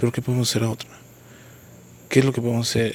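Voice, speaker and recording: Somewhat breathy, a man speaks with a central Mexican accent. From Mexico, Querétaro. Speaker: podcaster and motivational speaker. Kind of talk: solo podcast monologue, reflective commentary.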